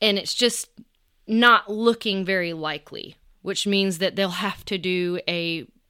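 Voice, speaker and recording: On a very clean recording with a silent background, a woman with a Southern US accent speaks at a very slow pace, her bright, sharp tone paired with fairly even intonation. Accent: US South. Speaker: podcast host. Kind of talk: casual monologue update. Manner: halting with many fillers.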